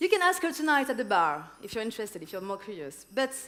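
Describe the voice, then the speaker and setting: A woman's voice rises and falls in very wide pitch swings. Audible room echo surrounds it. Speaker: event host. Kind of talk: stage introduction. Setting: stage with audience. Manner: slow.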